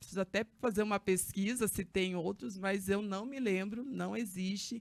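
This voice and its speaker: A woman with a medium pitch speaks at a fairly slow pace in a very clean recording with a silent background. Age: 30s. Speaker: social activist and council candidate. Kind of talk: podcast interview. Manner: hesitant, with fillers.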